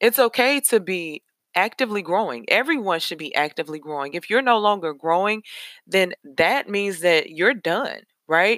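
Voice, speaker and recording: At a moderate pace, a woman speaks in an animated tone at medium pitch with very wide pitch swings, on a very clean recording with a silent background and a dry, close sound with no echo. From Nashville, Tennessee. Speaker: podcast host, life coach. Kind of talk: motivational podcast monologue.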